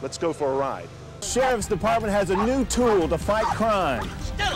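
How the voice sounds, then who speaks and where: A high-pitched man with an American accent, lively intonation, and a moderate pace, with music in the background. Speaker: TV news anchor and reporter. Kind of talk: news anchor teasers and promos. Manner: warm, conversational.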